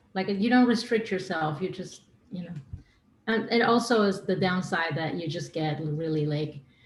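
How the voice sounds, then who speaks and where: A woman speaks at a moderate pace with a fairly low pitch and ordinary pitch variation. Her voice is somewhat breathy, with audible room echo. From Argentina. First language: Spanish. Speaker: singer-songwriter. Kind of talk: podcast interview. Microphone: too quiet.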